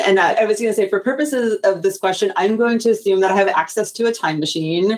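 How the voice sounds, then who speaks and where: A woman with an American accent talks very fast with lively intonation. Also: hardly any pauses. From US. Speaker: tech program director, former chemist. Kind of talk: casual interview.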